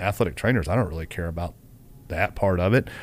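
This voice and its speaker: This is a very clean recording with a silent background. A man speaks at a fairly quick pace in a Southern US accent. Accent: Southern US (Georgia). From US South, Kennesaw, Georgia. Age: 40s. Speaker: college football head athletic trainer. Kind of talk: podcast interview.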